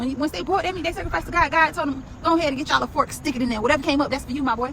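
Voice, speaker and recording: An animated woman with a high pitch and lively intonation speaks over noticeable background noise. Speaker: Bible study teacher. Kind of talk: Bible study. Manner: fast.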